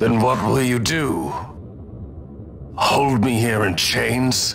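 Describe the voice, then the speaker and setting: A man puts on a character voice at a medium pitch. He speaks at a very slow pace over clear background noise. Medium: video game. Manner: grave, measured.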